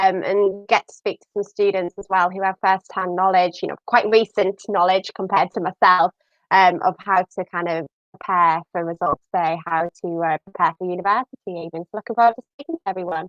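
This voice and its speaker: A woman with a northern English accent talks at a fairly quick pace and medium pitch, her intonation fairly even but her loudness swinging widely, in a dry, close sound with no echo. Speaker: university admissions staff. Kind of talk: live stream presenting.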